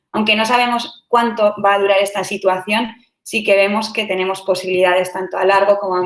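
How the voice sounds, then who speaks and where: Her intonation monotone and flat, a woman at a medium pitch moves at a fairly quick pace. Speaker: startup CEO. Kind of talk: online talk. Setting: online session. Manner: fast.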